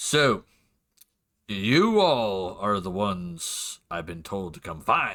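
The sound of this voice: A man puts on a raspy character voice, fairly low in pitch, with lively intonation. He goes at a very slow pace, and his loudness swings widely.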